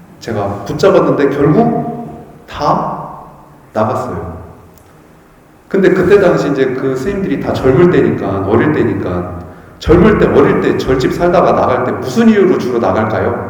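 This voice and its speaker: A man talks fairly slowly in a fairly high voice, his pitch swinging very widely. Noticeable background noise and audible room echo surround him. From Chungcheong Province, Korea. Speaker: Buddhist monk. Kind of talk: dharma talk. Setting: temple hall with audience. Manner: conversational, asks audience questions.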